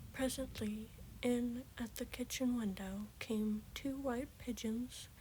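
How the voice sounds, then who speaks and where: Soft-spoken delivery at a very slow pace. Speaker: ASMR creator. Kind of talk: fairy tale reading.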